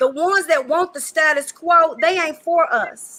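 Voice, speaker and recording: An extremely high-pitched woman's voice, raised and projected, in an animated tone. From Western Kentucky, rural. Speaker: educator, panelist. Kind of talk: panel discussion.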